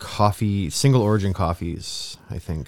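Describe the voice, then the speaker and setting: A man talks fairly slowly in a very deep, low pitch with ordinary variation. The recording is very clean, with a silent background. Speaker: podcast co-host. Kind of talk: casual chat. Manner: laughs often, casual, filler-heavy.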